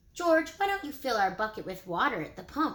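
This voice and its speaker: A woman's raised, projected, put-on character voice, high-pitched with very wide pitch swings. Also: fairly quick pace. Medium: read story. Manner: fatherly.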